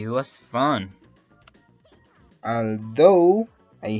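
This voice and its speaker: Music plays behind a man with a Latin American accent who speaks at a very slow pace with lively intonation. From Colombia (Antioquia region). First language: Spanish. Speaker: animator, YouTuber. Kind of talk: story time narration. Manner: casual, conversational.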